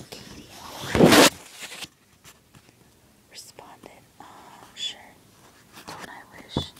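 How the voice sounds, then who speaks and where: Over noticeable background noise, the words come out in a whisper. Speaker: ASMR book reader. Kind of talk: relaxation book reading. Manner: whispered.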